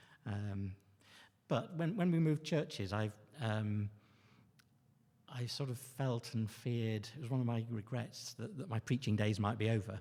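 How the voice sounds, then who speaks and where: On a very clean recording with a silent background, a man with a medium pitch and a dark, mellow, somewhat breathy tone talks at a moderate pace with ordinary pitch variation and long, frequent pauses. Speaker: lay preacher. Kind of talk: sermon. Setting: church. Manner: halting.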